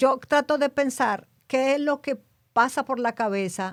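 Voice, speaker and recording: Over a silent background in a very clean recording, a woman speaks at a moderate pace with a high pitch. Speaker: podcast co-host. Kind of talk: casual chat.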